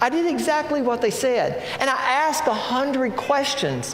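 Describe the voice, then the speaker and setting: Through noticeable background noise and audible room echo, a man's voice comes across. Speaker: pastor. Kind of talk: sermon.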